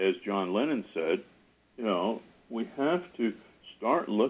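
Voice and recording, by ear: A passage is read aloud in a natural voice.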